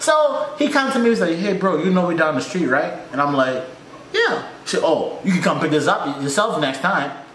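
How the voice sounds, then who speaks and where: Amid light background noise and audible room echo, a man speaks in an animated tone at a moderate pace, his pitch swinging very widely. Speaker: reaction YouTuber. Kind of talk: reaction video commentary. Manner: animated, casual, chatty. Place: home room.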